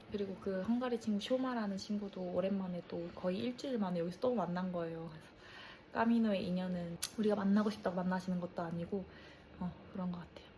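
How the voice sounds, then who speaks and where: This woman's pitch is medium, with ordinary variation. She speaks at a very fast pace. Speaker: travel vlogger. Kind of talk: casual vlog reflection.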